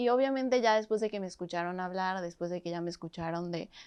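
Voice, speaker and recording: A woman talks in a plain, everyday voice, medium in pitch with ordinary pitch variation. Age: 20s. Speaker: activist. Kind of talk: interview.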